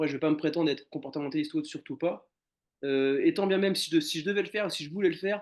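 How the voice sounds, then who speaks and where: A man's fairly high voice, delivered at a very fast pace with ordinary pitch variation. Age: 30s. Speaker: animal shelter caretaker. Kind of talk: casual interview conversation. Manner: hesitant, many fillers and repetitions.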